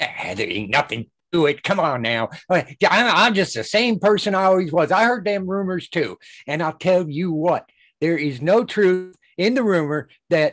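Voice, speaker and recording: A gruff, put-on character voice at a middle pitch. It moves at a moderate pace over a quiet background. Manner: irritable, gruff.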